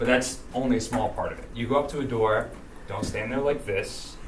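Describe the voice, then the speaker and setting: A man's voice with audible room echo. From Rhode Island. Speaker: political campaign trainer. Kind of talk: training workshop. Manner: fast.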